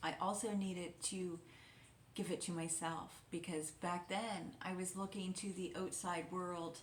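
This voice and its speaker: At a fairly slow pace, a woman speaks with a fairly low pitch and monotone, flat intonation. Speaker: intuitive guide and wellness mentor. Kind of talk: guided reflection / wellness talk to camera. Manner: soft-spoken, gentle, calming.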